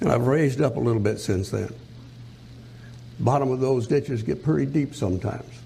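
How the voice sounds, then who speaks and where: A man with a medium-pitched voice speaks at a fairly quick pace with ordinary pitch variation and very even loudness, leaving long, frequent pauses, with audible room echo. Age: 80s+. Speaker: preacher. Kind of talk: sermon.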